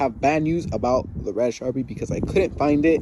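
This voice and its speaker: Ordinary pitch variation and a moderate pace over noticeable background noise. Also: man. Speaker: car enthusiast DIY vlogger. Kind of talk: casual DIY tutorial vlog. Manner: casual, filler-heavy.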